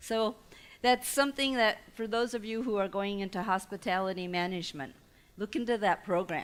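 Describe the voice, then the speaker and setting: A woman speaks at a fairly quick pace, her medium pitch showing ordinary variation. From Taiwan-born immigrant family, raised in US. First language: not English (English is her third language). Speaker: entrepreneur and guest lecturer. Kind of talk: lecture. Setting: lecture hall with audience. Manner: conversational, audience-engaging.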